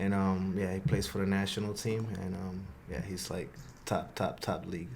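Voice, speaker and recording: With a Spanish accent, a man speaks at a very deep, low pitch and fairly even intonation, his voice carrying audible room echo. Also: moderate pace. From Honduras, then the Bronx, New York from age eight. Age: 20s. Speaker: soccer player. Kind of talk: podcast interview. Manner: halting, many fillers.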